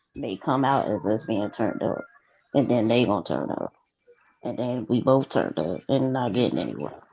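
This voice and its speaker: Her voice is very deep and low for a woman, with a dark, mellow tone and some vocal fry. She talks at a moderate pace with lively intonation. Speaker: podcast co-host. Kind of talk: casual chat. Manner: nonchalant tone.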